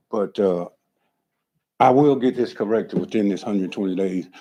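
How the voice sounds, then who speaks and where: A man with an American accent speaks at a fairly low pitch in a dark, mellow tone, his pitch varying in an ordinary way. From Florida. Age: 60s. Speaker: property owner at code hearing. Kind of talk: testimony. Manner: halting.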